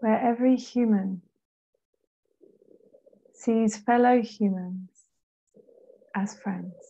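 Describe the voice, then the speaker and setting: At a very slow pace with long, frequent pauses, a woman speaks in a fairly high-pitched, somewhat breathy voice with a dark, mellow, calm and soothing tone and fairly even intonation. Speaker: meditation guide. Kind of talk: guided meditation. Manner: slow, calm, soothing.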